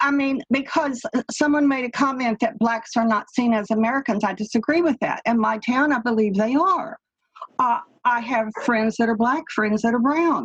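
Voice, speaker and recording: With a slight Texas accent, the speaker keeps a moderate pace, ordinary pitch variation and very even loudness. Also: woman, high pitch for a woman. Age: 70s. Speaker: caller. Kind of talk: panel discussion.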